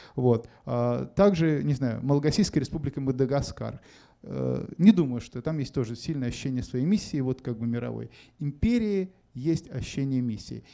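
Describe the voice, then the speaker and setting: His medium-pitched voice has a dark, mellow tone. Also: ordinary pitch variation, moderate pace. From Moscow, Russia. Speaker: writer. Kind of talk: public onstage conversation. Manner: hesitant, many fillers.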